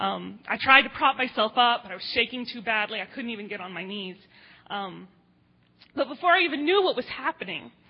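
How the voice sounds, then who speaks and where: A woman's unremarkable speaking voice with an American accent, fairly high in pitch, at a moderate pace with lively intonation. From grew up in Jordan, then Midwestern US. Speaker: pastor's wife, editor. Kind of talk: testimony. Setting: church.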